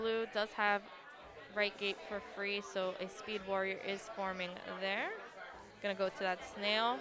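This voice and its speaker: A woman at medium pitch, fairly slow and even, with long, frequent pauses, audible room echo and crowd noise behind her. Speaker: esports commentator. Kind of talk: live commentary. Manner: monotone.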